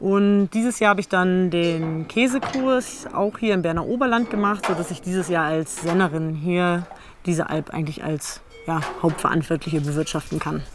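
Over music in the background, a woman with a fairly low pitch talks at a moderate pace. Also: ordinary pitch variation. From Germany. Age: 20s. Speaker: alpine dairymaid and cheesemaker. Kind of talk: documentary interview.

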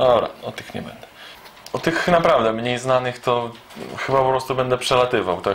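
A man talks at a moderate pace. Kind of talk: casual vlog chat.

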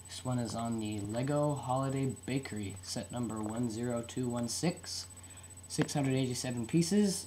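A somewhat breathy man speaks at medium pitch with lively intonation. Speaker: toy reviewer. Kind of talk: product review. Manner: halting with fillers.

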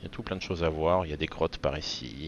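Here a man has a very deep, low pitch and a bright, sharp tone. He speaks at a fairly quick pace. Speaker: gaming youtuber. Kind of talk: gameplay tutorial voiceover, casual. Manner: casual, chatty, fillers.

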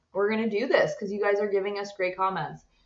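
Audible room echo over a quiet background. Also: woman. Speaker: co-host. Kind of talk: casual vlog chat. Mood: relaxed, cheerful. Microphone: webcam.

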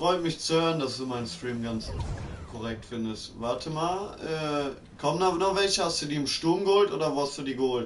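Audible room echo and noticeable background noise accompany a man with a fairly high pitch speaking at a moderate pace with lively intonation. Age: 20s. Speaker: gaming streamer. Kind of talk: live gaming stream chat. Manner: animated.

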